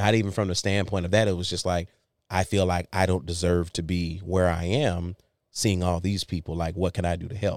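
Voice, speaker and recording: A man with an American accent and a very deep, low pitch at a fairly quick pace, on a very clean recording with a silent background. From Saginaw, Michigan. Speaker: formerly homeless musician. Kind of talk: personal testimony. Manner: animated.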